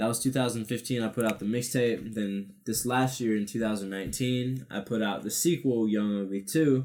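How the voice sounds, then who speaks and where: In a normal speaking voice with an American accent, a man speaks at a moderate pace and medium pitch with ordinary pitch variation and hardly any pauses. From Nebraska, US Midwest. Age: 20s. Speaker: rapper. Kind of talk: casual chat.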